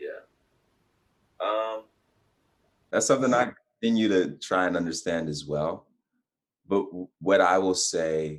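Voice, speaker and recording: At a moderate pace, a man speaks in a very deep, low pitch with ordinary pitch variation. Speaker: guest on faith and lifestyle talk show. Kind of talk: casual interview chat.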